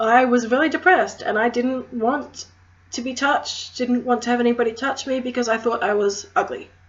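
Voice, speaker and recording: With a strong Australian accent, a woman speaks at a high pitch and a moderate pace, her pitch varying in an ordinary way. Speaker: crystal healer, witchcraft vlogger. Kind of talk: casual educational vlog.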